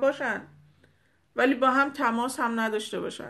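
Against a quiet background, a woman speaks at a moderate pace with a high pitch and a bright, sharp tone. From Iran. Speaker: spiritual teacher. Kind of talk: spiritual talk to followers. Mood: hopeful, reassuring. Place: home room. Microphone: phone near.

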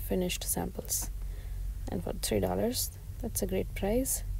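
Over light background noise, a woman speaks in a dry sound with no echo. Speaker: shopping vlogger. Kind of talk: casual vlog chat. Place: shop.

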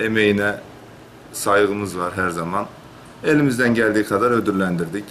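There is light background noise as a man with an unremarkable speaking voice talks at a moderate pace and fairly low pitch. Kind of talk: interview answer. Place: office.

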